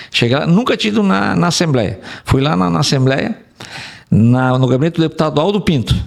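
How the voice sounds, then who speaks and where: At medium pitch, a man talks fairly quickly with very wide pitch swings while keeping his loudness very even. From Rio Grande do Sul, Brazil (Rondinha). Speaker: engineer, urban mobility specialist. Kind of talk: interview. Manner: halting, many repetitions.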